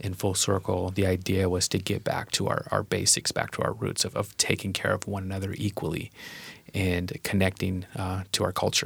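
In a very clean recording with a silent background, a man with an American accent speaks at a moderate pace in a very deep, low pitch, somewhat breathy and with fairly even intonation. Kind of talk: casual chat. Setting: studio.

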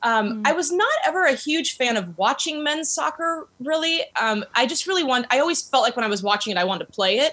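A woman with an American accent, high-pitched and raised to a projected voice, with very wide pitch swings, very even loudness, a fairly quick pace and hardly any pauses. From US Pacific Northwest, Seattle area. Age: 40s. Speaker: women's soccer club owner. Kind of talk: interview.

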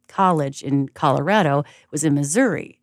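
A woman with vocal fry and a very deep, low pitch speaks with ordinary pitch variation in a very clean recording with a silent background. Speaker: jazz radio host and musician. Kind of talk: casual chat. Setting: radio station studio.

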